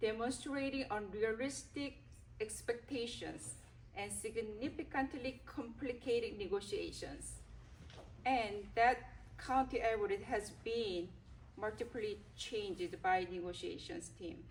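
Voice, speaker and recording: Speaking at a fairly slow pace, a woman uses a fairly high pitch, lively intonation and vocal fry. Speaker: school board president. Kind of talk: reading aloud a prepared statement. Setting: public board meeting. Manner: formal.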